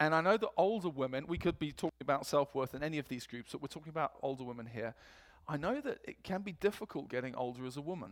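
Here a man talks at a very fast pace, fairly high in pitch. His tone is animated and his intonation lively. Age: 40s. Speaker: preacher. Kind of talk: sermon. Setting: church. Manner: animated, humorous.

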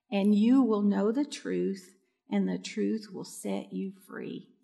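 A woman speaks at a very slow pace. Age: 60s. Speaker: pastor. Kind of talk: sermon.

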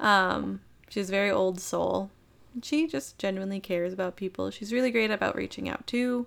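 Here is a plain, everyday voice: a woman at medium pitch with ordinary pitch variation. The recording is very clean, with a silent background. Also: moderate pace. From Minnesota. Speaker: sales manager. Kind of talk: casual chat.

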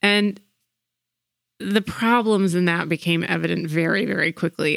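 In a very clean recording with a silent background and a dry, close sound with no echo, a plain, everyday voice speaks at a moderate pace. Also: woman. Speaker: podcast co-host. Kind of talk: casual podcast conversation.

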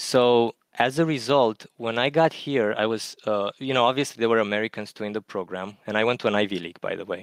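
A man with an Eastern European accent talks at a fairly quick pace in a dry, close sound with no echo, on a very clean recording with a silent background. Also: medium pitch for a man, ordinary pitch variation, hardly any pauses. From Romania. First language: Romanian. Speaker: math lecturer, caller. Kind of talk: casual chat.

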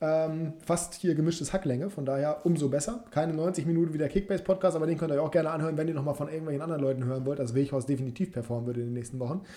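Noticeable background noise sits behind a man with a fairly high pitch and ordinary pitch variation. He speaks very fast, with hardly any pauses. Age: 20s. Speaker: football podcast host. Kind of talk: casual chat.

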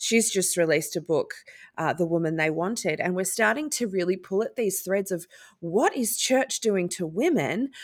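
This woman has a plain, everyday voice at a medium pitch, moving at a moderate pace. The recording is very clean, with a silent background. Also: lively intonation. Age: 40s. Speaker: podcast host. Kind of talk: interview.

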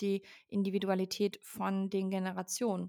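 Medium pitch from a female speaker, in a very clean recording with a silent background. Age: 20s. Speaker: founder and speaker on workplace topics. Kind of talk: podcast interview.

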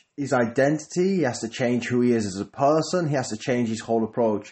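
This man talks at a fairly quick pace in an ordinary speaking voice. His pitch is medium, with ordinary variation. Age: 30s. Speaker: business coach podcaster. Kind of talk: solo podcast monologue. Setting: at home. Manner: casual, with filler words.

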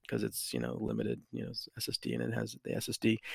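Very fast speech from a man, in a dry, close sound with no echo. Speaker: guest gamer. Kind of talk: casual chat. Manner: joking, playful.

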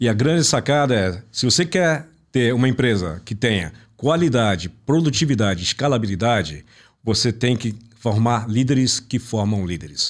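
Here a man has a normal speaking voice at medium pitch. He talks at a moderate pace with lively intonation, on a very clean recording with a silent background. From Brazil (born in Italy, raised in Brazil from infancy). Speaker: business mentor and consultant. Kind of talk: interview. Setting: studio.

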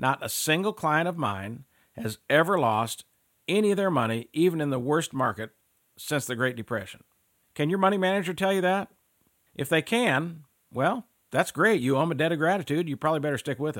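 The recording is very clean, with a silent background. A man speaks at a fairly quick pace in an ordinary speaking voice. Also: fairly high pitch for a man, lively intonation. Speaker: financial salesman. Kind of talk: infomercial sales pitch for annuity products. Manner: persuasive, urgent, salesy with repeated calls to action; earnest, reassuring, fear-stoking about market losses.

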